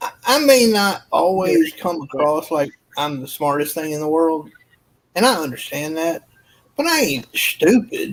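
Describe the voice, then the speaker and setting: A fairly slow delivery with an American accent. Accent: Southern US, sometimes hidden. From US South. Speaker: panelist on livestream. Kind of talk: casual chat.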